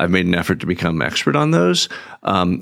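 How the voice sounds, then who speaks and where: A man's very deep, low voice with vocal fry. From New England. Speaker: urban planner and author. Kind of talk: interview. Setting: studio.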